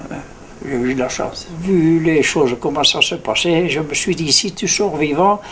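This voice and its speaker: With ordinary pitch variation, the words come at a very slow pace. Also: man. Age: 80s+. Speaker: war veteran. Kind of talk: testimony. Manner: halting, many repetitions.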